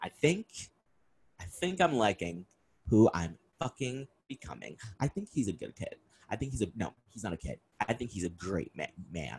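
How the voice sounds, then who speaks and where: The voice sounds animated, with very wide pitch swings, vocal fry, and long, frequent pauses. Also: man, fairly low pitch for a man, moderate pace, dry, close sound with no echo. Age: 20s. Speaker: podcast host. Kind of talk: casual solo monologue.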